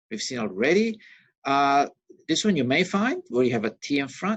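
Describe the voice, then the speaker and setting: Very wide pitch swings from a man with a fairly high pitch. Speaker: university lecturer. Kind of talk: recorded lecture. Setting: recording on a laptop with pen. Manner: fast.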